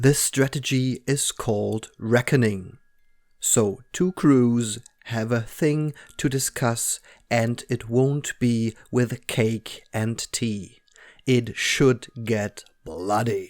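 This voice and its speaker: On a very clean recording with a silent background and a dry, close sound with no echo, a man speaks very slowly at a medium pitch with ordinary pitch variation. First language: German. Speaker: tabletop game battle report narrator. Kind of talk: scripted narration.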